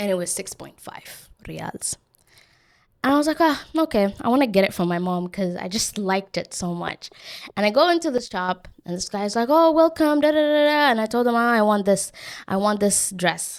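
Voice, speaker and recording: At a moderate pace, a woman with a non-native accent talks in an animated tone at a fairly high pitch, her pitch swinging very widely, on a very clean recording with a silent background. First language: not English. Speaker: podcast host. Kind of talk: casual solo podcast storytelling.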